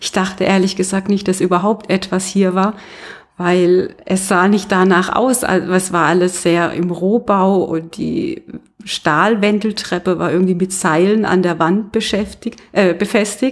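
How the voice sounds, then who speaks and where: A woman with an ordinary speaking voice talks at a fairly slow pace and medium pitch, her intonation fairly even. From Baden, Karlsruhe. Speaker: yoga teacher and studio owner. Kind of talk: interview, casual chat. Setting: in her yoga studio.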